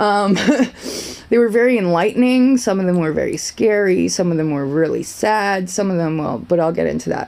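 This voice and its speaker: A woman with a medium pitch, lively intonation and a fairly quick pace. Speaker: vlogger sharing personal story. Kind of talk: casual monologue vlog. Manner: rambling, self-interrupting.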